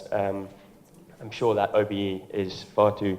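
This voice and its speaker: In an English accent, a man with a fairly low pitch and dark, mellow tone talks in a monotone, flat intonation amid audible room echo. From Ireland, then England from about age eleven. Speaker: tech company education head, speaker. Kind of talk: conference talk. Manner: hesitant, many fillers.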